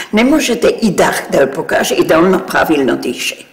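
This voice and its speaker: A woman's medium-pitched voice with very wide pitch swings, over noticeable background noise. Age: 80s+. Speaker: retired opera singer and voice teacher. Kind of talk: interview answer.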